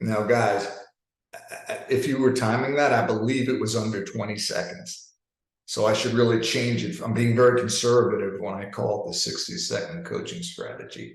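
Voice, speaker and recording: A man with a New York accent at a moderate pace, with audible room echo. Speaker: leadership coach. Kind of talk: webinar presentation. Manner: animated.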